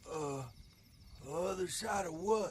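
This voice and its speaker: A man's high-pitched, put-on character voice over clear background noise. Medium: short film.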